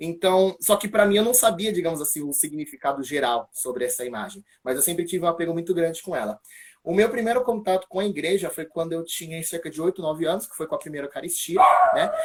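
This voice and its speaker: Talking at a very fast pace, a man uses a high pitch and lively intonation, with big swings in loudness. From São Paulo, Brazil (east zone). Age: 20s. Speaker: church ministry member giving faith testimony. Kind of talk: testimony. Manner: casual, hesitant with fillers.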